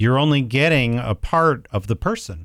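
With an American accent, this man talks at a moderate pace on a very clean recording with a silent background. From Ohio, US Midwest. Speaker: restaurant franchise businessman. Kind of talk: interview conversation. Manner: halting, many fillers.

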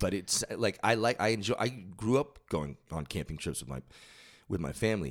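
A man speaks at a fairly low pitch with vocal fry and very wide pitch swings. The recording is very clean, with a silent background. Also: moderate pace. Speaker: podcast host, musician. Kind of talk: casual chat. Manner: halting, many fillers and repeats.

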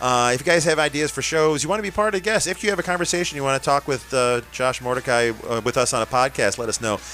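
Fairly high-pitched man with an American accent at a very fast pace, hardly any pauses, over noticeable background noise. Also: lively intonation. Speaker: radio host. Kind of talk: casual chat. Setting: studio.

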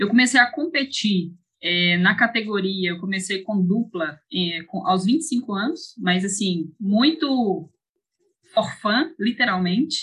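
Very slow in pace, a woman speaks at a medium pitch. Her intonation is lively. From Brazil, Ceará interior, raised in Belo Horizonte from age 8. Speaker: professional mountain bike racer. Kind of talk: interview.

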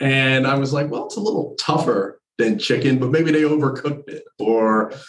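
A man with a plain, everyday voice speaks at a moderate pace in a fairly high pitch, with ordinary pitch variation. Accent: American. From New Jersey. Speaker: university admissions director. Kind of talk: interview conversation.

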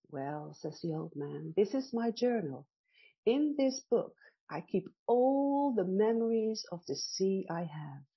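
A woman speaks at a very slow pace with a medium pitch. Her voice is somewhat breathy and swings very widely in pitch. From Netherlands. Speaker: storyteller. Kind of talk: bedtime story telling, a gentle, unhurried tale spoken in a soothing, dreamy voice. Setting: radio show. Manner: slow, soft, warmly expressive, with counted beats and voices for characters.

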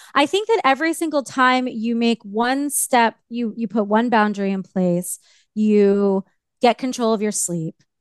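A normal speaking voice comes at a fairly slow pace with ordinary pitch variation, a dry, close sound with no echo, and a quiet background. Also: woman, fairly high pitch for a woman. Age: 40s. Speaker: life coach and author. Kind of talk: interview.

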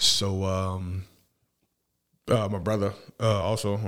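A man's fairly low voice with an American accent, on a very clean recording with a silent background. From New Orleans, Louisiana (uptown). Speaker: former street hustler turned medical worker. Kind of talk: casual interview, life story.

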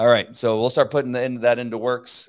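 This is a man speaking. He has a Californian accent. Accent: Californian American English. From Southern California (La Mirada). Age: 60s. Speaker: podcast host, former police officer. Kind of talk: live-streamed solo talk. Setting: live video stream.

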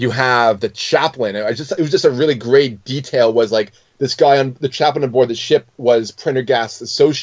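Nothing but plain reading aloud

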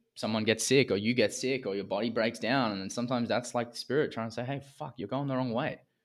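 The recording is very clean, with a silent background. A man with an Australian accent talks at a very fast pace. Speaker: men's coach, former semi-pro athlete. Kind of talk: interview conversation.

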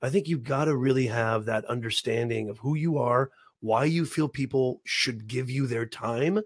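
Male voice, medium pitch, somewhat breathy, at a moderate pace. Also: ordinary pitch variation. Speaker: podcast co-host. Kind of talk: casual chat. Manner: joking.

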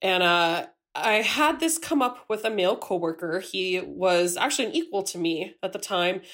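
A normal speaking voice moves at a fairly slow pace. Its intonation is lively. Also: woman. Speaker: physical scientist. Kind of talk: recorded listener question. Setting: recorded voice message.

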